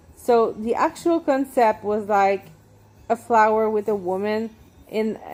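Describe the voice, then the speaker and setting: At a fairly slow pace, a woman talks in a fairly high pitch with ordinary pitch variation. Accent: Quebec. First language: French. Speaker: tattoo artist and painter. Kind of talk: casual vlog monologue while walking. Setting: outdoors walking in neighborhood. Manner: halting, many fillers and restarts.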